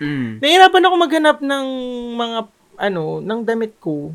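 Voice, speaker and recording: A man with an extremely high pitch and very wide pitch swings talks at a moderate pace. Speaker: podcast co-host. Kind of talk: casual chat. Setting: home.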